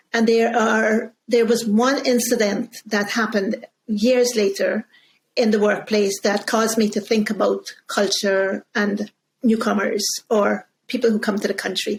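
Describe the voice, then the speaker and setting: A woman speaks at a fairly slow pace in a fairly high, somewhat breathy voice. Her loudness stays very even and her intonation is flat and monotone. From Guyana. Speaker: communication coach and author. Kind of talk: interview conversation.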